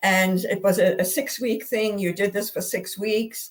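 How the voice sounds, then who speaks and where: Somewhat breathy, this voice keeps to a moderate pace. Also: woman. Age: 60s. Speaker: guest sharing health journey. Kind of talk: testimony. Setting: live video broadcast. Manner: halting, many repetitions and fillers.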